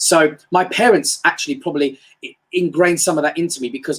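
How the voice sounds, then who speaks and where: Fairly quick speech in a London accent. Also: man. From England, North London. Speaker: motivational speaker. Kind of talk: live-stream motivational talk. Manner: casual, hesitant with fillers.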